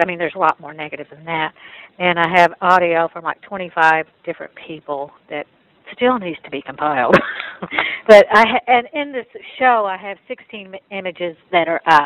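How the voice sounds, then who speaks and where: A woman with an East Texas accent and a fairly low voice speaks at a moderate pace, her intonation lively and her loudness swinging widely. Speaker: photographer and gallery owner. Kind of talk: recounting experiences in a panel talk.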